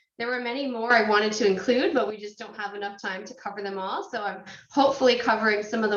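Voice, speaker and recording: The speaker uses ordinary pitch variation, and audible room echo fills the recording. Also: woman. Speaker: marketing author and speaker. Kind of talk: webinar presentation.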